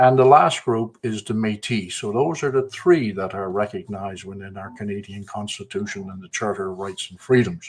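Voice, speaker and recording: Speaking with a slight Newfoundland accent, the voice shows ordinary pitch variation and leaves hardly any pauses. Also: man, fairly low pitch for a man, moderate pace, big swings in loudness. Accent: slight Newfoundland twang. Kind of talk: casual chat. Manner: halting, many fillers.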